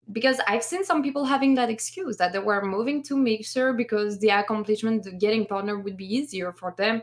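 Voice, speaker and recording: A woman with a French accent, fairly high in pitch, at a fairly quick pace with hardly any pauses and ordinary pitch variation, over noticeable background noise. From France. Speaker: streamer podcast co-host. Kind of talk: casual chat. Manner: animated.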